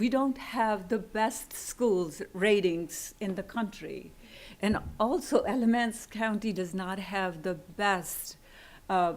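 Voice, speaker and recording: A woman talks at a very slow pace with a non-native accent. Her pitch sits in the medium range and varies in an ordinary way. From immigrant to US. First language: not English. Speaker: college instructor and school board candidate. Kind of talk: public comment at board meeting. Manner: halting, with fillers.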